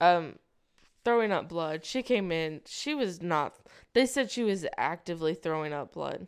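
Speaking at a fairly slow pace, a woman has an unremarkable speaking voice with a fairly low pitch and lively intonation. The recording is very clean, with a silent background. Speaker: podcast co-host, EMT. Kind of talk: casual chat.

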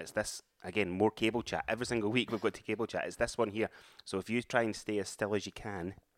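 In an Edinburgh accent, a man talks at a very fast pace with monotone, flat intonation, in a dry, close sound with no echo. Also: fairly low pitch for a man, very clean recording, silent background. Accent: Scottish, Edinburgh area. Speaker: podcast co-host, amateur runner. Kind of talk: casual chat.

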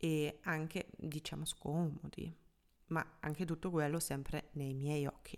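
A woman speaks very slowly with a German accent. Her very deep, low voice stays monotone and flat. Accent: German accent in Italian. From Germany. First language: German (speaking Italian). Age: 30s. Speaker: app founder and podcast host. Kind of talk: solo podcast monologue. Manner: hesitant, with fillers.

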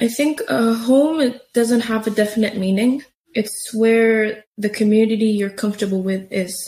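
With an Arabic accent, a woman at a fairly high pitch speaks in a dark, mellow, somewhat breathy tone at a moderate pace with ordinary pitch variation. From Syria. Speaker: youth program participant. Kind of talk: interview conversation. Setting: in-person recording at a community center.

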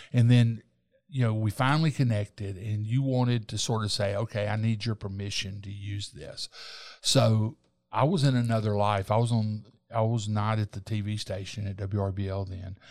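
A man with a Southern US accent and fairly low pitch, on a very clean recording with a silent background. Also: fairly even intonation, moderate pace. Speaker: talk show host and journalist. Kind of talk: casual interview.

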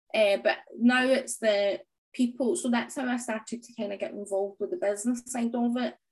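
Speaking in a Scottish accent at a fairly quick pace, a woman with a high pitch makes big swings in loudness. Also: ordinary pitch variation. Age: 30s. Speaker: small business owner and fitness transformation story guest. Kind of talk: interview conversation.

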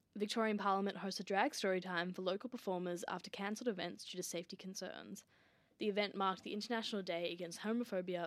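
A woman talks at a very fast pace in an Australian accent. Her pitch sits in the medium range with ordinary variation. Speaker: student podcast host. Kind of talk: news reading. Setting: studio. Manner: steady, clear, formal newsreader delivery; brisk, even-paced, mostly neutral and scripted.

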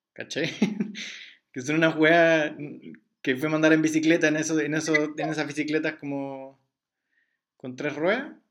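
Pausing long and often, a man with a Chilean accent talks at a moderate pace in a fairly high, monotone, flat voice. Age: 20s. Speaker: podcast host interviewing his mother. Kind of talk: casual family interview.

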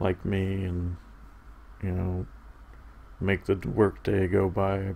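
A man with a very deep, low voice speaks in a flat monotone, his tone dark, mellow and somewhat breathy. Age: 30s. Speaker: podcast host. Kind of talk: casual solo monologue. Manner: halting.

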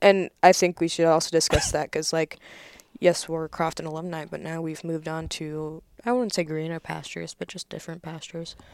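An unremarkable speaking voice from a woman, fairly low in pitch, with an American accent, fairly even intonation and a fairly quick pace. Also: big swings in loudness, dry, close sound with no echo. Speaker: English major student. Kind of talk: casual chat. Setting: home basement.

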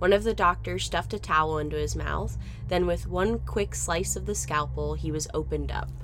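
Noticeable background noise runs under this recording. A woman talks at a fairly quick pace. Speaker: true crime podcast host. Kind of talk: history documentary narration, scripted and read in a steady, serious storytelling voice. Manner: measured, even and grave, explaining gruesome history in a clear, informative tone; solemn and matter-of-fact, with little emotional colouring.

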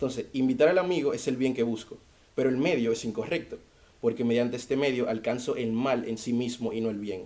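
A man speaks at a very fast pace in a dark, mellow tone. His pitch is medium, with ordinary variation. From Dominican Republic. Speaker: university student, debater. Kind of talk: debate.

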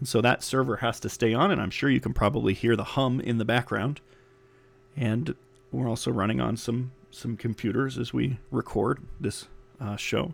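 A man talks with ordinary pitch variation while music sounds in the background. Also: medium pitch for a man, moderate pace. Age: 30s. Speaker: podcast host. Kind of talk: casual monologue. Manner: halting, many fillers.

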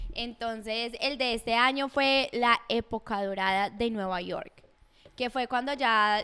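Her tone is bright and sharp, with a fairly high pitch and ordinary pitch variation. The woman is heard in a very clean recording with a silent background. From Colombia. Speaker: podcast co-host. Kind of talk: casual chat.

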